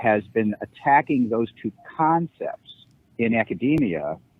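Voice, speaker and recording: This man talks at a very slow pace. He has an American accent. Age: 60s. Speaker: law professor. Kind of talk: podcast interview.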